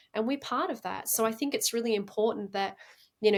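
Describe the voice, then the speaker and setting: A woman's fairly high-pitched voice with an Australian accent. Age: 40s. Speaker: incense crafter and reiki practitioner. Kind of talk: podcast interview. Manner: hesitant, many fillers and repeats.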